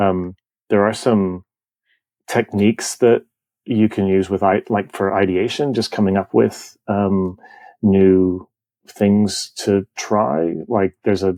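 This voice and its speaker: A man's fairly low, dark and mellow voice at a very slow pace, with fairly even intonation, dry and close with no echo, on a very clean recording with a silent background. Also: very even loudness. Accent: American. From Canada. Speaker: photographer. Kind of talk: interview. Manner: casual, many fillers.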